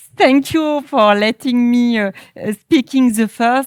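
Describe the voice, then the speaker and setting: A woman with a French accent speaks at a high pitch and a very slow pace, with ordinary pitch variation and a dry, close sound with no echo. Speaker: politician. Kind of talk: panel statement. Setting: stage with audience. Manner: halting.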